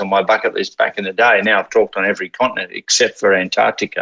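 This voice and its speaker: A man with an Australian accent talks at a very fast pace. The sound is dry and close with no echo. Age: 40s. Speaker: motivational speaker and author. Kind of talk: casual interview chat.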